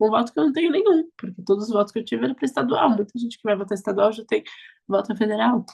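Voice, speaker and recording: A woman speaks very fast in an animated tone, her fairly high, somewhat breathy voice full of lively intonation, with a dry, close sound and no echo. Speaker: politician. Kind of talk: interview.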